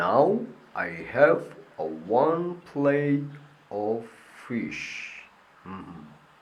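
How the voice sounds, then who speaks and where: A man at medium pitch performs a cartoonish character voice with very wide pitch swings. He speaks at a very slow pace with long, frequent pauses. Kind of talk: children's puppet show. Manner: playful, upbeat.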